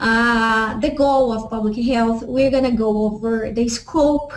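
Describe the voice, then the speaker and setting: In a Portuguese accent, a woman speaks at a fairly high pitch. Her pace is very slow and her intonation fairly even. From Brazil. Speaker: professor. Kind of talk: lecture. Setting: web session. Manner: halting, many fillers.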